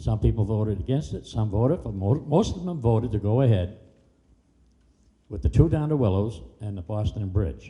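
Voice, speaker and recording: A man's dark, mellow voice, fairly low in pitch, with lively intonation at a moderate pace amid audible room echo. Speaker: public commenter. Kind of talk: public comment at city council meeting. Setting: public meeting hall. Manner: halting.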